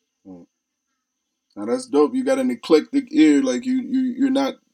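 At a moderate pace, a man talks in a very clean recording with a silent background. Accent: Lowcountry. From Charleston, South Carolina. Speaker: podcast host interviewing artists.

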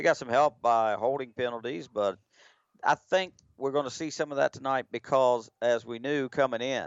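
With an ordinary speaking voice, a man speaks at a medium pitch and a moderate pace, his intonation fairly even. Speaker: color analyst. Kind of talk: live sports commentary. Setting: stadium broadcast, radio. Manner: relaxed, conversational, chatty.

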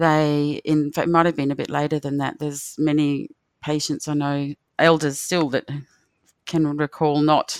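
A woman with an Australian accent speaks at a moderate pace in a very deep, low pitch with monotone, flat intonation. The sound is dry and close with no echo, in a very clean recording with a silent background. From Australia, Northern Territory (near Darwin). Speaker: rural doctor. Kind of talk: personal storytelling. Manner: warm.

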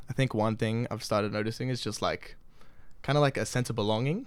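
On a very clean recording with a silent background, a man with an Australian accent talks very fast in a fairly low pitch with fairly even intonation. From Australia, Sydney. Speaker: exchange student. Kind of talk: casual chat.

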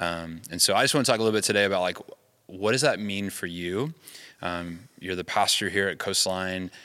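The voice has a bright, sharp tone and an American accent. The recording is very clean, with a silent background. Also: man, very deep, low pitch for a man, ordinary pitch variation, fairly quick pace. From US South. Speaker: camp podcast host. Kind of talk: casual interview chat. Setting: church worship center. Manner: halting, many fillers.

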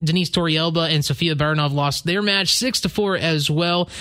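A man's high voice carries ordinary pitch variation. Behind him, background noise is noticeable. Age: 20s. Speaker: sports podcast co-host. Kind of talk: casual chat.

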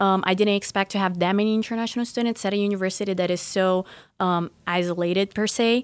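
In a very clean recording with a silent background, a woman with a Portuguese accent and a medium pitch speaks at a very fast pace in flat, monotone intonation. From Brazil. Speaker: university student. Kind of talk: interview.

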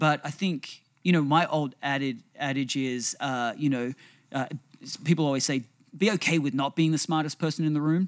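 On a very clean recording with a silent background, an ordinary speaking voice moves at a moderate pace with fairly even intonation. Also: man, fairly high pitch for a man. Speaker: podcast co-host. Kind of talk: casual conversational podcast discussion. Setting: studio.

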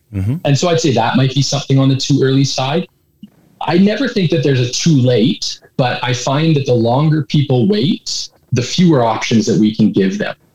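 This speaker has a Canadian accent and lively intonation at a moderate pace. The voice is somewhat breathy, with very even loudness. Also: man, fairly high pitch for a man. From Edmonton, Alberta, Canada. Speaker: licensed insolvency trustee. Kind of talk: interview.

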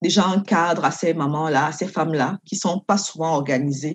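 A plain, everyday voice from a woman, fairly low in pitch, at a moderate pace with fairly even intonation. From Cameroon. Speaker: doctoral student and lawyer. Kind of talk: interview.

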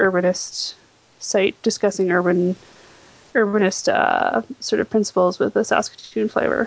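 A woman's plain, everyday voice at a medium pitch, with fairly even intonation and a moderate pace. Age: 30s. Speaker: local politics enthusiast. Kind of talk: casual interview.

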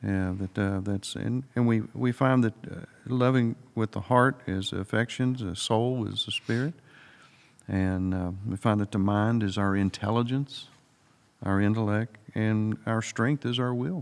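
Slow-ish and unhurried, a man speaks at a fairly slow pace. His pitch is fairly low. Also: ordinary pitch variation. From US South, Alabama. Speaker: Bible study co-host. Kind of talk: Bible study discussion.

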